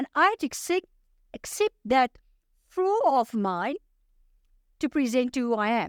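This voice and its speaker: With an energetic tone and very wide pitch swings, a woman talks high-pitched at a fairly slow pace, leaving long, frequent pauses, in a dry, close recording with no echo. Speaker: life coach. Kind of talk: interview.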